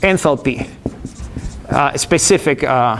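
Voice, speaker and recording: At a very slow pace, a man talks with lively intonation amid noticeable background noise. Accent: Argentine. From Argentina. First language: Spanish. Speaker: engineering professor. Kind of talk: lecture. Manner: halting, many repetitions and fillers.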